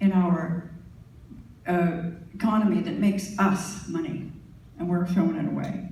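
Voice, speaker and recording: A woman is speaking. Room echo is audible. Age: 70s. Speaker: political candidate. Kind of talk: candidates debate.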